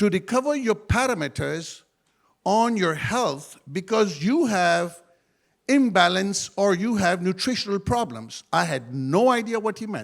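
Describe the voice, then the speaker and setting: On a very clean recording with a silent background, a man speaks fairly slowly in a high pitch, with very wide pitch swings. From Pakistan. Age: 60s. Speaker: network marketing speaker, former pilot. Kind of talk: motivational talk.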